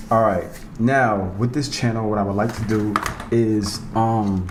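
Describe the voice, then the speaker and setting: A man with a New York accent and a fairly low pitch speaks at a very slow pace with fairly even intonation, amid noticeable background noise and audible room echo. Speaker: YouTuber, Las Vegas guide. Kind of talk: casual vlog narration. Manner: not always clearly enunciated.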